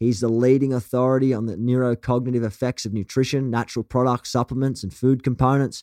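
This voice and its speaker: Very fast and hardly pausing, a man talks with a strong Australian accent at a medium pitch. His tone is dark and mellow, and the sound is dry and close with no echo. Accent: broad Australian. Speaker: podcast host. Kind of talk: interview conversation. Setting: video call. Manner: animated.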